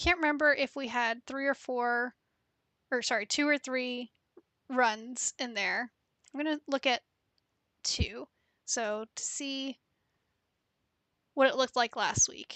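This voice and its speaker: A soft-spoken woman at high pitch, with a bright, sharp tone, fairly even intonation, a fairly slow pace and long, frequent pauses, over a quiet background with dry sound and no echo. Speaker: data analytics streamer. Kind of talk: live-stream tutorial. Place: home room. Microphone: headset.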